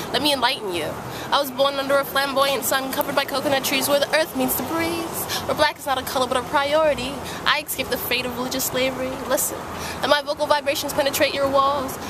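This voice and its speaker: A woman with an American accent talks very fast in a high pitch and a monotone, flat intonation. The sound is dry with no echo, and noticeable background noise is present. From Brooklyn, New York. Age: young. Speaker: street poet. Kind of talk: spoken word poetry; casual interview. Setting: outdoors on a sidewalk. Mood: calm, sincere, sometimes smiling. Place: street. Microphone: phone near.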